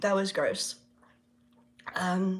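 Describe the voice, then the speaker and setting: A woman at medium pitch, with noticeable background noise. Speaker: spiritual reader and livestream host. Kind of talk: casual livestream chat. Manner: relaxed, filler-heavy.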